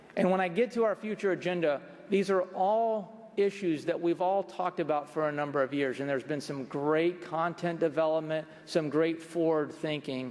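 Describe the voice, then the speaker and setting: Over noticeable background noise, a man talks at a moderate pace in a high pitch. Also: ordinary pitch variation. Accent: American. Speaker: accounting standards board official giving a presentation. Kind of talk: conference presentation.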